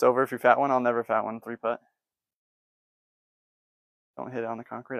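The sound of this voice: A man talks at a fairly quick pace with medium pitch and vocal fry. His pitch moves little, and the sound is dry and close with no echo.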